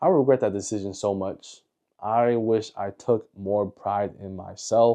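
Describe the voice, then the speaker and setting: This man has a fairly low pitch and a dark, mellow tone, with fairly even intonation. His loudness swings widely against a quiet background. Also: fairly slow pace. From United States. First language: Mandarin Chinese. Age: 20s. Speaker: YouTuber. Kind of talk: personal documentary narration.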